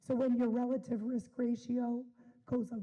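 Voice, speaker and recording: At a moderate pace, a woman speaks in a high pitch with a dark, mellow tone. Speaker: school district staff presenter. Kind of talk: formal presentation at board meeting. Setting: school board meeting.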